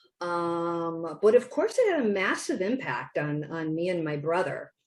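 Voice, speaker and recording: A woman's fairly low voice with a strong Wisconsin accent. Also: fairly slow pace. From Wisconsin, US Midwest. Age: 60s. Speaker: children's book author. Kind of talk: interview. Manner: many fillers and restarts.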